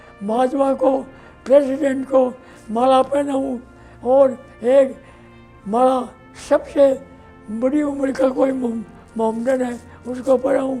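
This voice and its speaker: Music plays in the background. Over it, a man talks at an extremely high pitch in a monotone, flat intonation. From Rajasthan, India. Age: 80s+. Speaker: former legislator. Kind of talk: interview answer.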